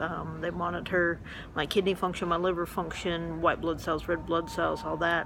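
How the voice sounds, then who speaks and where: A woman's flat, monotone delivery in a Southern US accent at a moderate pace, with music in the background. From Memphis, Tennessee. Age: 40s. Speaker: metastatic breast cancer patient. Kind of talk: casual vlog to camera. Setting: medical clinic.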